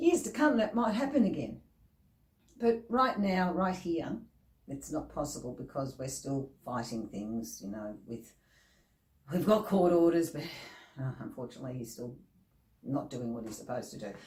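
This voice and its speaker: A woman with a very deep, low, somewhat breathy voice speaks at a moderate pace, leaving long, frequent pauses. Her loudness swings a lot and her pitch swings very widely. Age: 50s. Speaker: motivational speaker. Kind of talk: motivational vlog talk. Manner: animated.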